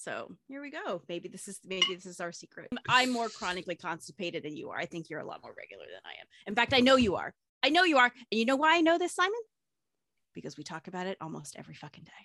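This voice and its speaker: The speech races at a very fast pace, animated and bright and sharp in tone, with very wide pitch swings, big swings in loudness, and vocal fry. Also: woman, fairly high pitch for a woman. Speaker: podcast co-host. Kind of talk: casual chat. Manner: animated, excitable.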